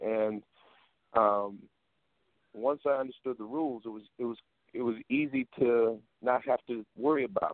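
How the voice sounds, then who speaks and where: In an American accent, a man speaks at medium pitch with fairly even intonation. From Iowa, US Midwest. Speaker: blues musician. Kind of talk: casual interview. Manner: halting, repeats words.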